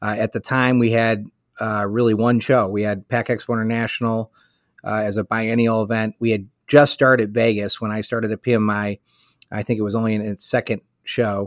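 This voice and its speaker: In a Chicago accent, a man speaks at medium pitch and a moderate pace in a flat monotone, the sound dry and close with no echo on a very clean recording with a silent background. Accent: Chicago American. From Chicago, US. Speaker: trade association executive. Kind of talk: interview.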